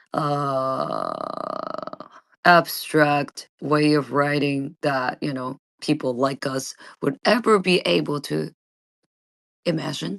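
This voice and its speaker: Someone with a Japanese accent speaks at a very slow pace, leaving long, frequent pauses. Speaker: vtuber streamer. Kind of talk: casual chat. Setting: live audio space. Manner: halting.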